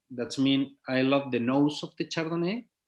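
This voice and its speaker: A man talks at a very slow pace in a Spanish accent, with ordinary pitch variation. The recording is very clean, with a silent background. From Chile. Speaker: winemaker. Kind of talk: interview. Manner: halting.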